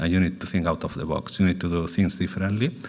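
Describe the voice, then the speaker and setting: A man speaks with a Spanish accent. His voice sits very deep and low. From Spain. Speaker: panel speaker, food sector executive. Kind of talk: panel talk. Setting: roundtable event.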